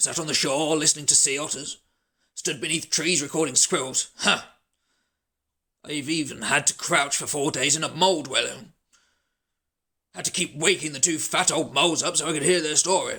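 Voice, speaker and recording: Someone in a raspy, put-on character voice speaks at a moderate pace with long, frequent pauses. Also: man, fairly high pitch for a man. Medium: read story. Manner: warm, good-humoured.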